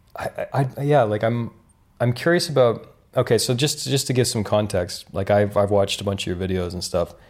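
A man talks in a normal speaking voice at medium pitch and a moderate pace, with ordinary pitch variation. The recording is very clean, with a silent background. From Canada (rural Ontario). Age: 30s. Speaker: podcast host. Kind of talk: casual interview conversation. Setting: kitchen.

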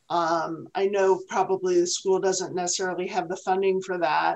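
This woman has a normal speaking voice at medium pitch. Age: 60s. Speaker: podcast co-host and restaurateur. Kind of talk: casual chat.

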